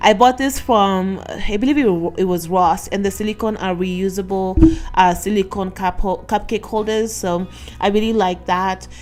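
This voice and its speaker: Over music in the background, the speaker talks at a moderate pace with hardly any pauses and ordinary pitch variation. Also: woman, medium pitch for a woman. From Kenya. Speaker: lifestyle vlogger, mother. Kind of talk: casual voiceover narration of cooking vlog. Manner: casual, halting with fillers and restarts.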